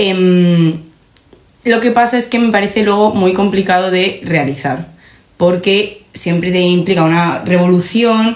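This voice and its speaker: In a plain, everyday voice of medium pitch, a woman speaks at a fairly slow pace with ordinary pitch variation and very even loudness. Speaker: podcast host. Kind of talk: casual chat.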